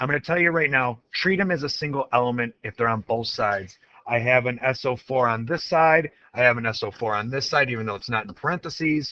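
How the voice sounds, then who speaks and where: The voice is bright and sharp in tone, moving at a fairly quick pace. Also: man, medium pitch for a man, ordinary pitch variation. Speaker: chemistry teacher. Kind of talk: tutorial. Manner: animated.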